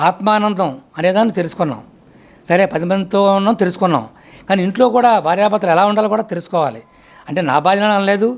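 A man with a high pitch speaks at very even loudness, his pitch varying in an ordinary way. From Andhra Pradesh, Anakapalli. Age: 70s. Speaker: meditation practitioner. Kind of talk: testimony.

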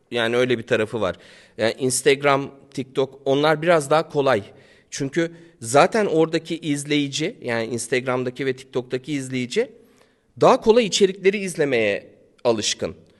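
Over a quiet background, a man talks at a moderate pace with a fairly high pitch. His is an ordinary speaking voice with lively intonation. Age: 40s. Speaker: YouTuber. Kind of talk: casual chat.

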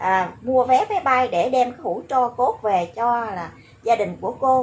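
Slow-ish, high-pitched female speech full of lively intonation. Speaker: YouTube commentary vlogger. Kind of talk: monologue commentary video. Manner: animated.

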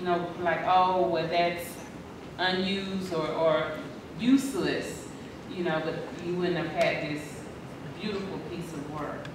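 A woman with a fairly low voice speaks at a fairly slow pace, her intonation fairly even, with long, frequent pauses, strong room echo and noticeable background noise. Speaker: poetry event host. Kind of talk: live event hosting. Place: hall.

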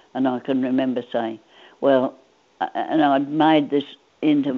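Speaking at a fairly slow pace, a woman with an Australian accent has a very deep, low pitch. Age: 80s+. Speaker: centenarian interviewee; interviewee. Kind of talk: interview. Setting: phone call. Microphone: video call.

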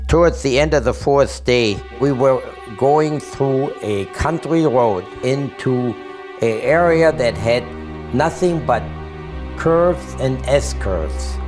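A man speaking at a very slow pace over clear background music. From Germany. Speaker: Holocaust survivor. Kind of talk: interview answer. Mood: earnest, vivid recollection. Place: home room.

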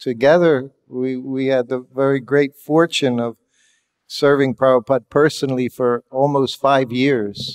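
A man speaks at a very slow pace in a medium pitch. His intonation is monotone and flat over a quiet background. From USA. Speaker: monk and former personal servant of a guru; guest. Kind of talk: reminiscence talk. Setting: hall with audience. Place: hall.

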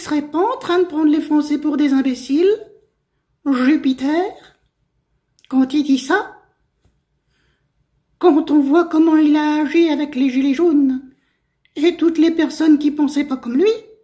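A cartoonish character voice, high-pitched, at a moderate pace with long, frequent pauses. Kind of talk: comic political heckling. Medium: puppet show. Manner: rude, indignant, sarcastic, colloquial.

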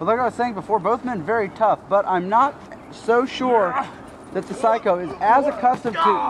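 A high-pitched male voice at a moderate pace, with ordinary pitch variation and noticeable background noise. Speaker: co-commentator. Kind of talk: casual co-commentary, banter. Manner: reactive, exclamatory.

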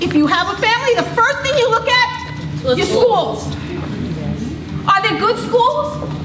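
A woman speaks at a fairly slow pace with ordinary pitch variation over noticeable background noise. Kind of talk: impassioned public speech. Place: hall. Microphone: camera far.

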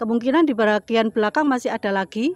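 The woman's voice sounds dry with no echo against a quiet background. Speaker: vlogger. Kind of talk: casual vlog chat. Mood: cheerful and enthusiastic. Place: waterside. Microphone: phone near.

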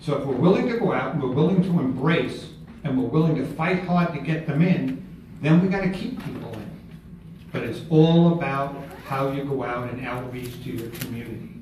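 Speech comes at a moderate pace. Audible room echo and light background noise are present. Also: man. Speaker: presenter. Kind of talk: workshop talk. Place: meeting room. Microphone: camera far.

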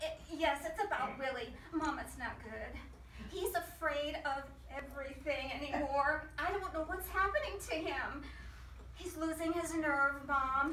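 A woman speaks in a raised, projected voice at a fairly slow pace, with audible room echo and light background noise. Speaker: amateur actor in a skit. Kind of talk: theatrical monologue, one-sided phone call. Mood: anxious, flustered. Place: garden. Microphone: camera far.

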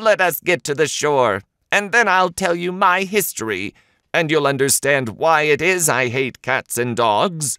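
A man uses a put-on character voice at a fairly high pitch. He talks at a moderate pace on a very clean recording with a silent background.

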